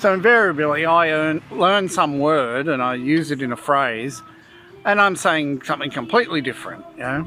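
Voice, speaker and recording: Lively in intonation, a man with an Australian accent talks at a fairly high pitch. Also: moderate pace. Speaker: vlogger. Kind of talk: casual chat. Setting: restaurant.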